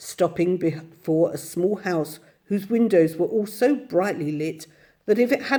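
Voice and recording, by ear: In a natural voice, a passage is read aloud.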